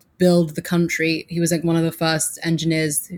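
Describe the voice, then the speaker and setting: A woman speaks at a moderate pace in a fairly low voice, recorded very cleanly against a silent background. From England, Suffolk. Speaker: PR and social media strategist. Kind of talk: casual interview chat.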